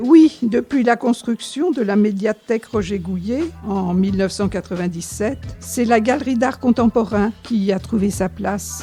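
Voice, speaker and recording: A woman talks at a fairly slow pace with hardly any pauses, and music plays in the background. Her pitch is medium, with ordinary variation. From Noisy-le-Sec, France. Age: 80s+. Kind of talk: interview answer, reminiscing.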